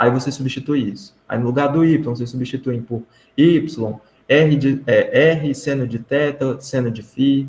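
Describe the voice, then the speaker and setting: Speaking at a fairly slow pace, a man with a fairly high, somewhat breathy voice keeps his intonation fairly even. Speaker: math teaching assistant. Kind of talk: online tutoring session. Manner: casual, informal.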